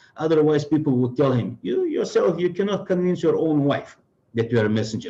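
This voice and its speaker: Dark and mellow in tone, a man's somewhat breathy voice moves at a fairly quick pace with lively intonation. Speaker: Islamic religious speaker. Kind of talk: religious lecture. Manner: fast; halting with many fillers.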